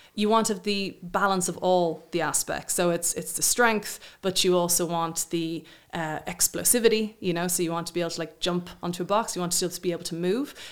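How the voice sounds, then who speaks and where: On a very clean recording with a silent background, a woman with an ordinary speaking voice and fairly low pitch talks at a fairly quick pace with fairly even intonation and hardly any pauses. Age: 40s. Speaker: fertility specialist. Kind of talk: interview.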